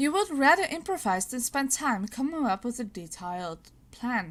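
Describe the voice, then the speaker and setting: A woman speaks with a high pitch and very wide pitch swings. Her pace is fairly slow. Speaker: vlogger. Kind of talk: casual vlog, reading and answering quiz questions.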